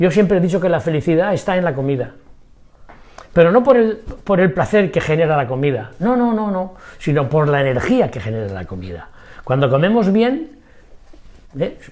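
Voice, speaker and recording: A high-pitched man at a moderate pace, his pitch swinging very widely, with long, frequent pauses. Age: 80s+. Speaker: macrobiotics doctor. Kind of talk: interview. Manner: energetic.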